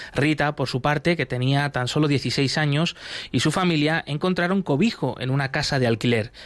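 A man with a plain, everyday voice talks at a moderate pace and a fairly high pitch, his pitch varying in an ordinary way, in a very clean recording with a silent background. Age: 30s. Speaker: radio host. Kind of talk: news reading; radio magazine show.

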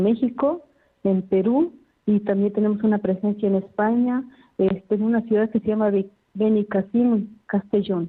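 This woman's fairly high voice keeps a fairly even intonation. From Mexico, Puebla. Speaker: nun. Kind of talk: radio interview.

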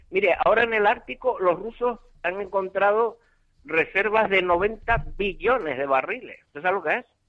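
This man's voice is high-pitched for a man. He talks at a moderate pace with ordinary pitch variation. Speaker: caller, hospital lab technician. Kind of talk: phone-in call. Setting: phone call.

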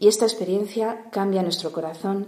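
A woman speaks at a moderate pace while noticeable background noise carries on behind her. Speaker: radio host. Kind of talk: radio show interview. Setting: studio.

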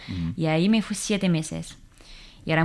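The recording is very clean, with a silent background. A woman talks at a moderate pace. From France, Versailles. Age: 20s. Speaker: staff of online prayer platform. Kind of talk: radio interview. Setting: studio.

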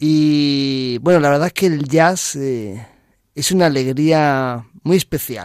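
Very slow in pace, a man talks at a fairly high pitch. The recording is very clean, with a silent background. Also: ordinary pitch variation. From Galicia, Spain (A Coruña). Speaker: pianist and composer. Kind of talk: radio interview.

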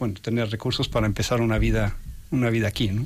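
A man in a Mexican accent, with fairly even intonation. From Mexico. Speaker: entrepreneur, industrial engineer. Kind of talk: interview testimony. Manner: halting, repeats words.

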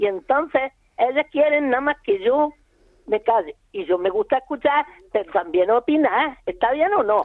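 A woman speaks in a high-pitched voice at a moderate pace. Her pitch swings very widely. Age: 80s+. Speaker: radio caller. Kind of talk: phone-in call. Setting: phone call. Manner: animated.

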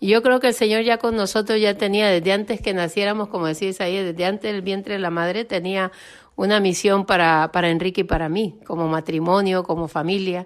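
Over a quiet background, a woman talks at a fairly quick pace in a normal speaking voice with fairly even intonation. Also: medium pitch for a woman. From Honduras. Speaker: lay missionary. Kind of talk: testimony.

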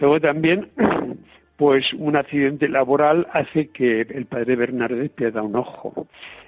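A man speaks at a fairly slow pace in a normal speaking voice, fairly high-pitched for a man, with ordinary pitch variation. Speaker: priest. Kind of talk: talk on a saint's life.

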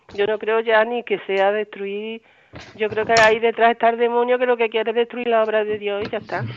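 A woman's fairly high-pitched voice. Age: 60s. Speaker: radio caller. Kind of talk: phone-in call. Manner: halting.

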